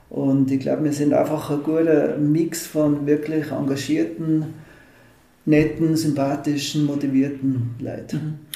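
Audible room echo surrounds a man speaking at a very slow pace. His pitch is fairly high and his intonation monotone and flat. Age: 50s. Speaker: mayoral candidate, engineer. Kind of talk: interview.

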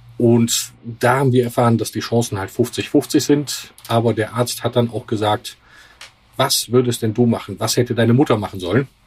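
A man's somewhat breathy voice of medium pitch, at a moderate pace with fairly even intonation. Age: 50s. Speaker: patient and father. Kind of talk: interview.

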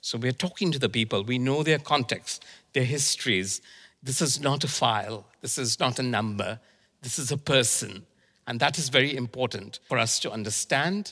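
A man's medium-pitched voice, bright and sharp in tone, at a moderate pace. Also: ordinary pitch variation. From India. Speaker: qualifications program manager. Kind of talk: panel discussion.

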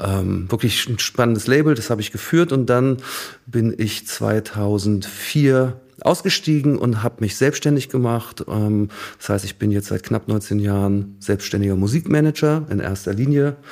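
In a plain, everyday voice, a man speaks fairly slowly at a medium pitch with ordinary pitch variation. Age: 50s. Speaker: artist manager. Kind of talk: interview.

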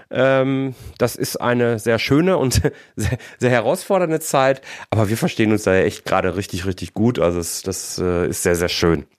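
Over a silent background in a very clean recording, a man with a medium pitch speaks at a fairly slow pace in an animated tone with very wide pitch swings. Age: 40s. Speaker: podcast host, financial controller. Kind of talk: solo podcast monologue.

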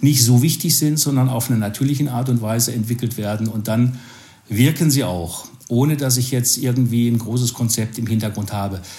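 A man with an unremarkable speaking voice talks at a moderate pace, medium pitch and fairly even intonation. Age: 50s. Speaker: sales professional. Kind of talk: casual interview.

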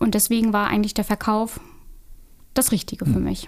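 Fairly high in pitch, a woman speaks at a moderate pace. She has an unremarkable speaking voice. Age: 30s. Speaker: real estate agent. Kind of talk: interview.

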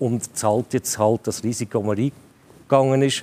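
Speaking at a moderate pace with a Zurich accent, a man has a dark, mellow tone in a dry, close sound with no echo. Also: very clean recording, silent background. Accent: Swiss German, Zurich. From Switzerland, Zurich area. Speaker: football pundit, former club director. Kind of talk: panel discussion.

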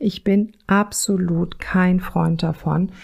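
A somewhat breathy woman's voice, fairly low in pitch, dark and mellow in tone, with fairly even intonation. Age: 50s. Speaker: parenting counselor and podcast host. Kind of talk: solo podcast monologue. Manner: casual, chatty.

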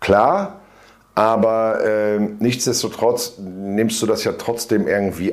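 A fairly low male voice at a very slow pace with fairly even intonation, amid noticeable background noise. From northern Germany (Bielefeld). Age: 50s. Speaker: self-employed weight-loss client. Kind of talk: interview testimony. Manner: hesitant, many fillers.

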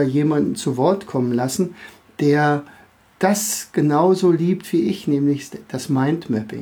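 Speaking with a slight Berlin accent, a man has a fairly high pitch and a dark, mellow tone. He goes at a fairly slow pace with ordinary pitch variation. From Berlin area, Germany. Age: 50s. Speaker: teacher and podcast host. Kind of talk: podcast monologue for kids. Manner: hesitant, many filler sounds.

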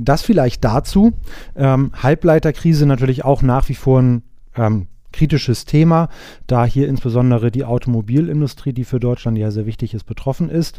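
A dark, mellow tone with ordinary pitch variation at a moderate pace. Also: man, medium pitch for a man. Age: 20s. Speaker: risk management consultant. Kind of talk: interview.

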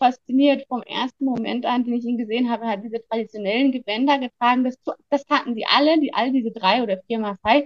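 Her voice high in pitch, a woman speaks with fairly even intonation. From Germany. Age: 30s. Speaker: biologist and conservationist, book subject. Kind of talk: personal life story interview. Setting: video call from Tanzania.

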